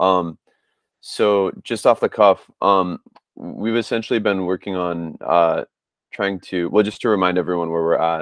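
Long, frequent pauses break up fairly slow speech with fairly even intonation, recorded dry with no echo against a quiet background. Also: man, very deep, low pitch for a man. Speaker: software developer. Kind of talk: presentation in work meeting. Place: home room. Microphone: earbuds.

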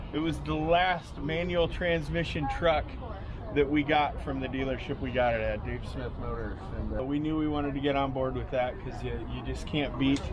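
Background noise is noticeable. Over it, a man speaks at a moderate pace. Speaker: vendor. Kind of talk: interview answer. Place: open country. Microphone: phone near.

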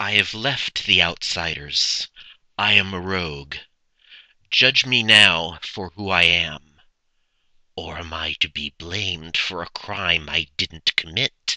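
His pitch is very deep and low. The man does a put-on character voice at a fairly slow pace. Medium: dub.

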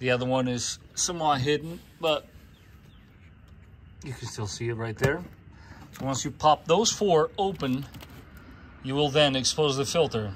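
A man speaks somewhat breathily at a moderate pace with long, frequent pauses and ordinary pitch variation, over light background noise. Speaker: DIY car maintenance host. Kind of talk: tutorial. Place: street. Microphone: phone near.

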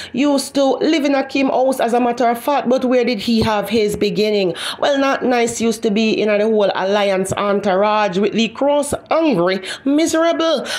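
A woman's fairly high voice with lively intonation and very even loudness, over noticeable background noise. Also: moderate pace. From Jamaica, Kingston. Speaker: YouTube commentary host. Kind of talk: gossip commentary.

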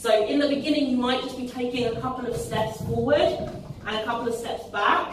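Strong room echo and noticeable background noise surround a woman who speaks at a high pitch and a fairly quick pace, with ordinary pitch variation and hardly any pauses. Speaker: fitness coach. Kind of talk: tutorial. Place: gym. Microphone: camera far.

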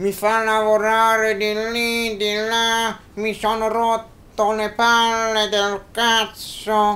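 A man performs a high-pitched cartoonish character voice. He speaks at a very slow pace in a monotone, flat intonation. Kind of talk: comic ventriloquist banter. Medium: puppet show. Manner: angry, vulgar, complaining.

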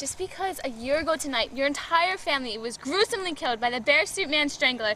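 A woman's raised, projected voice with very wide pitch swings, over light background noise. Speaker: amateur actor. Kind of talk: scripted acting with retakes. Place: street. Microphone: camera far.

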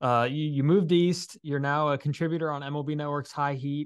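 Here a man talks at a moderate pace. His pitch is fairly high and the background is quiet. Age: 20s. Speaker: podcast host and baseball reporter; podcast host, baseball reporter. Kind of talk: casual interview. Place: home room.

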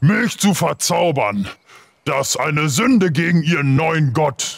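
A man does a put-on character voice. It sits at a fairly high pitch. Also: fairly slow pace. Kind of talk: comic fantasy villain voice. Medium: actual play. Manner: angry, commanding, simple broken speech.

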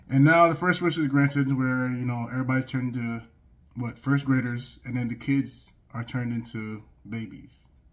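Intonation stays fairly even as a man talks at a moderate pace. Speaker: anime reaction reviewer. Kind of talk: casual commentary. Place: home room.

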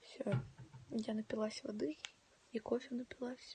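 A fairly high-pitched, somewhat breathy woman's voice. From Donetsk, eastern Ukraine. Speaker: livestreamer. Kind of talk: casual chat. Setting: home livestream. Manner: animated. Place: home room. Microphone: phone near.

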